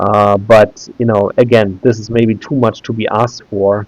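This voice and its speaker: A man speaks with a German accent at a fairly slow pace. His intonation stays fairly even. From Germany, Berlin. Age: 30s. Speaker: YouTuber. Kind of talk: tutorial. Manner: halting, many filler sounds.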